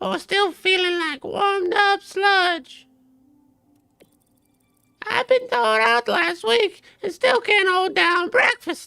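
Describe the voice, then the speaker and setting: A squeaky, put-on character voice speaks at a fairly slow pace. Music plays in the background. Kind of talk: colloquial, slangy. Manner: casual, folksy, welcoming.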